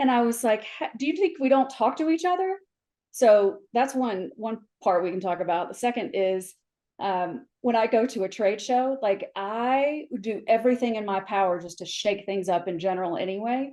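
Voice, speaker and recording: At a moderate pace, a woman with an American accent speaks in a fairly high pitch, her dark, mellow tone paired with lively intonation. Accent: Southern US, comes out after visiting home. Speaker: flooring industry professional, mentor. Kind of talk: podcast interview. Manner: animated.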